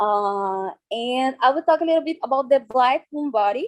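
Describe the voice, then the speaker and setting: With a Brazilian Portuguese accent, a woman speaks at a fairly slow pace in a high pitch, her intonation lively and the sound dry and close with no echo. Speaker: dance artist and researcher. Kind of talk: conference talk. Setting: video call. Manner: halting.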